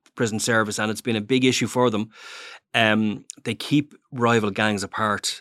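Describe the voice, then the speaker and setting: A man with an Irish accent and a fairly low pitch, on a very clean recording against a silent background. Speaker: newspaper crime journalist. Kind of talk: interview.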